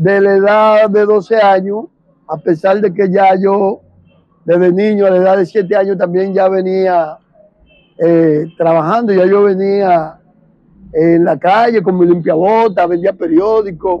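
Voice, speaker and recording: At a fairly slow pace, a high-pitched man talks with fairly even intonation and very even loudness. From Dominican Republic, Santo Domingo (Guachupita). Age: 60s. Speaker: witness to 1965 civil war. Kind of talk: interview testimony.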